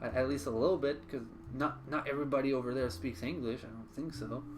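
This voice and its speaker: A man with a fairly high pitch talks at a very fast pace with lively intonation, and the room echo is audible. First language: French. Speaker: streamer. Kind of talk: live gaming stream chat. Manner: halting, frequent repetitions.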